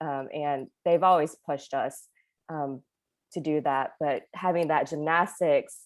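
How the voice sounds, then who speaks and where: The speech comes at a fairly slow pace with ordinary pitch variation on a very clean recording with a silent background. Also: woman. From North Carolina, USA. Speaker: pediatric dentist. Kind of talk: interview answer. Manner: enthusiastic.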